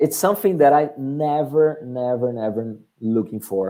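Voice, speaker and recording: A man with a Portuguese accent speaks fairly slowly in a dark, mellow tone with lively intonation. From Brazil. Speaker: marketing agency director. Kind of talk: webinar presentation and Q&A. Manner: halting.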